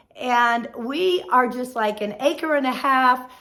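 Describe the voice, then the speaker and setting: A woman with a high pitch speaks very slowly in a raised, projected voice, her bright, sharp tone showing ordinary pitch variation. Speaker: homesteading channel host. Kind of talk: casual vlog talk.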